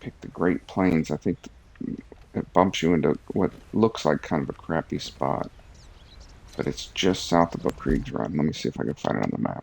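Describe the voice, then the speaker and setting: A soft-spoken man mumbles at a moderate pace. His pitch is very deep and low, with ordinary variation. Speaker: game streamer. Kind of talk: casual gameplay commentary. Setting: live stream, early morning. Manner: mumbling.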